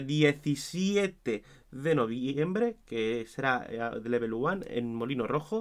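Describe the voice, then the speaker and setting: The voice swings very widely in pitch, captured in a very clean recording against a silent background. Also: man. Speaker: wrestling commentator / YouTuber. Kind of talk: show review monologue.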